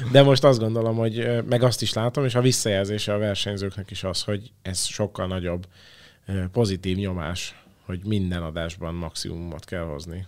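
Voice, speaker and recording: With an ordinary speaking voice at a fairly low pitch, a man talks at a moderate pace, his pitch varying normally and his loudness swinging widely. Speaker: current creative producer of a talent show. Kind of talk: interview answers.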